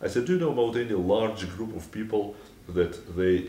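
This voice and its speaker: In a Russian accent, a man speaks at a fairly quick pace with a fairly low pitch. His dark, mellow tone is somewhat breathy, and room echo is audible. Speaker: author. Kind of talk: anecdote. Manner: hesitant, many fillers.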